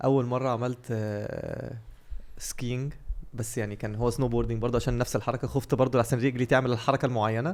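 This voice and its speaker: In a very clean recording with a silent background, a man talks at a fairly quick pace and a medium pitch. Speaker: podcast co-host. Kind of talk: casual chat. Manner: animated storytelling.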